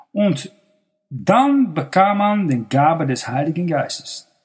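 The man's intonation is lively. His voice sounds somewhat breathy. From Netherlands. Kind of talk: sermon.

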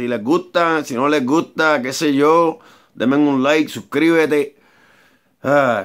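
Over a quiet background, a man with a fairly high-pitched voice talks at a very slow pace. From Puerto Rico. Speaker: amateur songwriter and vlogger; vlogger. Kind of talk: casual vlog monologue. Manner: rambling, repetitive and halting. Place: garage. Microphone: phone near.

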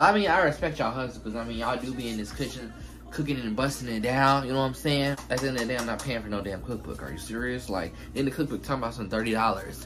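A man speaks at a very fast pace while music plays clearly in the background. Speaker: cooking vlogger. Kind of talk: casual vlog chat. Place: kitchen. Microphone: phone near.

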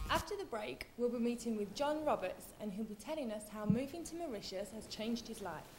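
Over noticeable background noise, a woman with a British accent talks at a fairly quick pace with hardly any pauses. Her fairly high pitch carries lively intonation. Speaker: TV presenter. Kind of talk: TV presenter piece to camera, upbeat. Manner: upbeat, bubbly. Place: studio.

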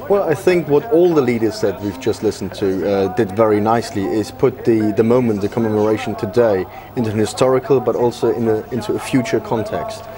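Hardly pausing, a man at medium pitch talks at a fairly quick pace with ordinary pitch variation over noticeable background noise. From Germany. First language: German. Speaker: policy analyst. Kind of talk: TV news interview. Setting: studio.

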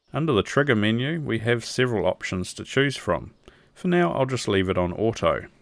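In a New Zealand accent, a man talks fairly quickly at medium pitch with lively intonation, in a very clean recording with a silent background. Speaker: electronics video creator. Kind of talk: product review tutorial. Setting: outdoors.

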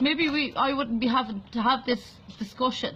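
A woman's raised, projected voice holds a moderate pace. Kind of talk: emotional vlog plea. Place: home room. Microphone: phone near.

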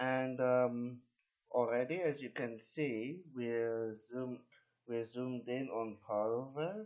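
A man talks at a very slow pace with ordinary pitch variation and big swings in loudness. The background is quiet. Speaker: local video maker. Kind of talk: unscripted casual screen-recording narration. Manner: hesitant, rambling, frequent fillers.

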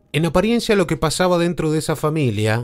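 A man's moderately paced speech swings very widely in pitch as music plays in the background. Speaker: podcast narrator / locutor. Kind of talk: true-crime podcast narration.

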